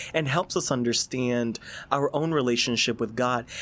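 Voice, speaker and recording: Here is a man with an unremarkable speaking voice and ordinary pitch variation. He moves at a fairly quick pace. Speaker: seminarian. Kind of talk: casual chat.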